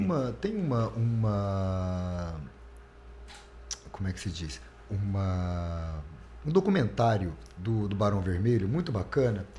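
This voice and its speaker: Against noticeable background noise, a man speaks at a very slow pace with lively intonation and long, frequent pauses. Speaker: radio announcer. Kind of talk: interview answer.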